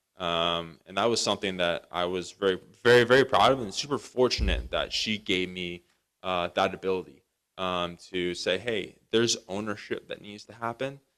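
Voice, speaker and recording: A man speaks in a very deep, low pitch, with big swings in loudness. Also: ordinary pitch variation, moderate pace, very clean recording, silent background. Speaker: para-athlete runner and brain injury speaker. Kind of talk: motivational talk. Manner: halting, many fillers.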